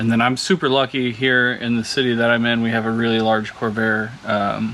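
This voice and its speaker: Quiet and mumbling, a man speaks at a moderate pace and medium pitch with monotone, flat intonation over noticeable background noise. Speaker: car hobbyist vlogger. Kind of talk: casual monologue while working. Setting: home garage.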